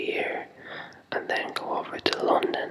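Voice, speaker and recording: Whispering over noticeable background noise. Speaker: music technology university student. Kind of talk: casual whispered talk to camera. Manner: whispered.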